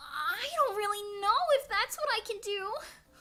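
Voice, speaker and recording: A cartoonish character voice at a moderate pace, anxious in tone, with very wide pitch swings. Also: woman, extremely high pitch for a woman. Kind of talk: dramatic anime voice. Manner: earnest, anxious, meme-style delivery.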